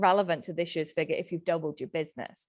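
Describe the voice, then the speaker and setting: Against a quiet background, a woman with a British accent speaks with ordinary pitch variation. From UK. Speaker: accountant, small business owner. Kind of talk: webinar presentation.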